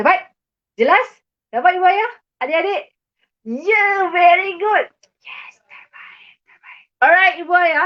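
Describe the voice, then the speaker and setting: A woman speaks at a very slow pace. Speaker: online maths tutor. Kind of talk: live online lesson. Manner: animated.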